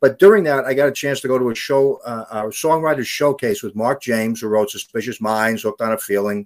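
Talking at a fairly quick pace with hardly any pauses, this speaker has a New York accent and ordinary pitch variation. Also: man, medium pitch for a man. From the Bronx, New York. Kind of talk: casual interview. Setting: video call.

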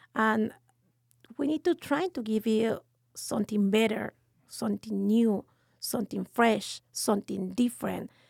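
A woman with a Mexican accent, fairly high in pitch, at a fairly slow pace with long, frequent pauses and ordinary pitch variation, on a very clean recording with a silent background and a dry, close sound with no echo. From Mexico City, Mexico. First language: Spanish. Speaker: restaurant owner. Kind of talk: casual interview.

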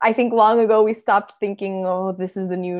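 Speaking with an American accent in a plain, everyday voice, a woman keeps a moderate pace and a fairly high pitch. The recording is very clean, with a silent background. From Miami, Florida; Venezuelan family. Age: 30s. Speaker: nonprofit media founder and CEO. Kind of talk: interview.

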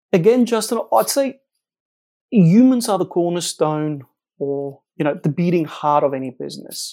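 Speaking in a South African accent, a man has a dark, mellow tone. His pitch is high, swings very widely and keeps a moderate pace. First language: Afrikaans. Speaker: company co-founder. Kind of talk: interview. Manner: frequent fillers and repetitions.

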